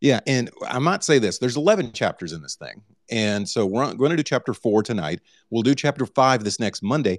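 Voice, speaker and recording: A man's medium-pitched, plain, everyday voice at a fairly quick pace, with lively intonation and a dry, close sound with no echo, on a very clean recording against a silent background. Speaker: book club host. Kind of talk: live book reading and discussion. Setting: Twitter Spaces live audio room.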